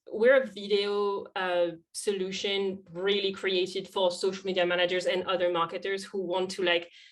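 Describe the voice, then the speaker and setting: The speaker has a strong French accent. The pace is moderate, with hardly any pauses. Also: woman. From France. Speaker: social media lead. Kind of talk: podcast interview.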